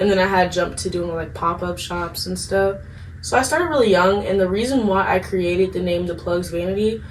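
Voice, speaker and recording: Talking at a fairly quick pace, a woman with an American accent and a medium pitch shows ordinary pitch variation, with audible room echo and noticeable background noise. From Maryland, US (Upper Marlboro, Prince George's County). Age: 20s. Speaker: hairstylist and business owner. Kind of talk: casual interview. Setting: dorm room.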